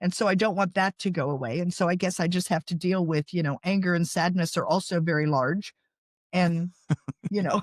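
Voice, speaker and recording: A woman with an American accent speaks in a normal speaking voice at a fairly quick pace, her pitch fairly low and her intonation fairly even. The sound is dry and close with no echo, and her loudness stays very even. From US South, coastal North Carolina. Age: 60s. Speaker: author and podcast host. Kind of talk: interview.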